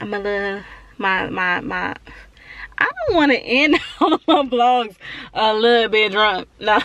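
A woman speaks at a fairly slow pace in a fairly high pitch, her intonation lively and her tone animated, with long, frequent pauses and noticeable background noise behind her. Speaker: beauty vlogger and freelance makeup artist. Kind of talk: casual vlog monologue. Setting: on the go, salon. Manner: casual, chatty, animated.

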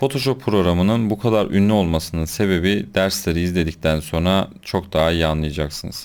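A man's very deep, low voice at a moderate pace, with ordinary pitch variation, in a very clean recording with a silent background. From Konya, Turkey. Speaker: photoshop instructor, graphic designer.

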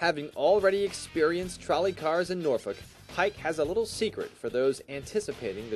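Music plays in the background as a man talks at a fairly quick pace. His pitch is high and his intonation lively. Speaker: TV news reporter. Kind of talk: TV news report narration.

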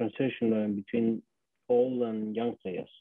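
A man with an Argentine accent speaks with fairly even intonation. The sound is dry with no echo over a quiet background. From Argentina. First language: Spanish. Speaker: former rugby player. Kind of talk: casual chat. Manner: halting. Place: home room. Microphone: webcam.

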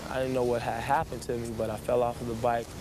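A man speaks over noticeable background noise, his voice dry with no echo. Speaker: interviewee. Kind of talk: interview answer, storytelling. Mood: reflective, serious. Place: street. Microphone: old recording.

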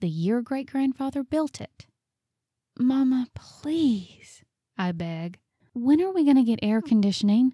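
A woman with a Southern US accent speaks at a fairly slow pace, her pitch fairly high and her tone dark and mellow. Her intonation is lively, and the sound is dry and close with no echo. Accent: Southern American. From Southern United States. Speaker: voice actor. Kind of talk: audiobook narration.

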